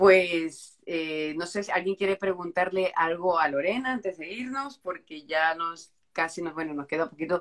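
At a moderate pace, a woman with a plain, everyday voice speaks in a fairly low pitch with ordinary pitch variation. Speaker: live stream host. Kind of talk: casual live stream interview.

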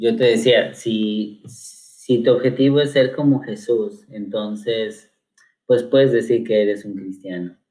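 A medium-pitched man at a very slow pace with ordinary pitch variation. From Mexico, Cuernavaca, Morelos. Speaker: pastor. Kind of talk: casual chat.

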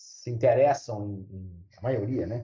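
With a dark, mellow tone, a man speaks in a somewhat breathy voice. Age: 60s. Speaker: university professor. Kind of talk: interview.

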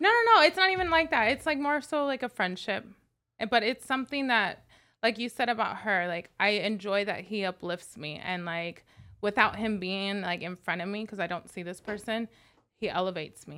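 The delivery has a bright, sharp tone and lively intonation at a moderate pace, with big swings in loudness. The recording is very clean, with a silent background. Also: woman, fairly high pitch for a woman. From Las Vegas, US. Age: 30s. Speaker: makeup artist and event host. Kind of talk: casual chat.

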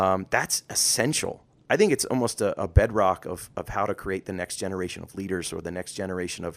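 A man with an American accent talks at a fairly quick pace in an ordinary speaking voice, fairly low in pitch. The recording is very clean, with a silent background. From rural US. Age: 40s. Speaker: podcast co-host. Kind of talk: casual chat.

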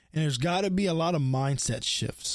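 In a very clean recording with a silent background, a man speaks with an American accent in a plain, everyday voice. His pitch is fairly high, with ordinary pitch variation. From US, Baltimore. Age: 20s. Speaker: podcast host. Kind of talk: casual monologue.

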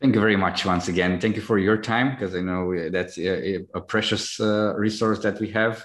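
A man with a Romanian accent and fairly low pitch speaks at a moderate pace in fairly even intonation against a quiet background. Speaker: podcast host. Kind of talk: interview.

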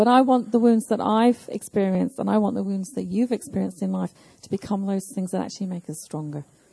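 At a very fast pace, a woman speaks at medium pitch with ordinary pitch variation. Her voice is somewhat breathy with a dark, mellow tone, in a dry, close sound with no echo. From southern England. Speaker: pastor. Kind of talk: sermon. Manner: measured, pausing for interpreter.

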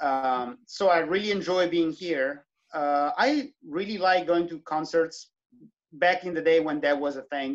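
A man in an Italian accent speaks at a fairly slow pace. His fairly high voice has ordinary pitch variation. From southern Italy. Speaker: trumpeter and electronic musician. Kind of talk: interview.

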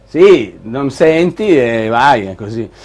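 A man speaks in an animated tone. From northern Italy (Milan, Liguria). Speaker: tech show host. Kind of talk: live show presenting. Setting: studio with live video audience.

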